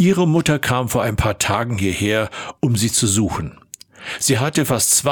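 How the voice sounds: Reading happens in a natural reading voice. Its intonation is lively.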